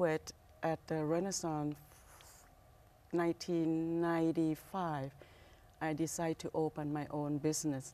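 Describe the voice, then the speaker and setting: At a fairly slow pace, a woman with a Thai accent speaks in a very deep, low pitch and a dark, mellow tone, her intonation monotone and flat, with long, frequent pauses. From Thailand, Bangkok. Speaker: restaurant owner. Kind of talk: interview. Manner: halting.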